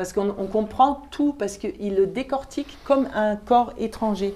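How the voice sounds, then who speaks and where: A woman's medium-pitched voice with a German accent. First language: German (speaking French). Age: 50s. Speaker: opera singer and German teacher. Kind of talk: classroom Q&A.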